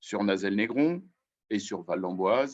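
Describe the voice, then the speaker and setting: Pitch varies in an ordinary way as a man delivers his words very slowly. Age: 60s. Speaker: mayor. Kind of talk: testimony. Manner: hesitant.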